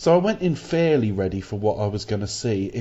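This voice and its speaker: A man's fairly low voice holds a moderate pace. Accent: British. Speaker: podcast host. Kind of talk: casual chat.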